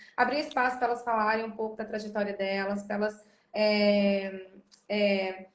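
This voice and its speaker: Her fairly high voice keeps a moderate pace and fairly even intonation. Audible room echo surrounds the woman. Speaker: podcast host. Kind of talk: casual chat. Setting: video call.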